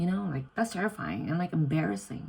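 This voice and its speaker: The woman's voice is very deep and low, with a dark, mellow tone. It comes across somewhat breathy. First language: Indonesian. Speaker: vlogger, exchange student. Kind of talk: casual vlog. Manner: stutters, self-corrects; animated.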